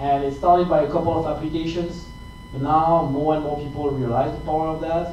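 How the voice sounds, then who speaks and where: In a French accent, a man speaks with a monotone, flat intonation, amid noticeable background noise and audible room echo. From France. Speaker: tech company account manager. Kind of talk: tech talk. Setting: meetup presentation with audience. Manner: halting, many fillers and repeats.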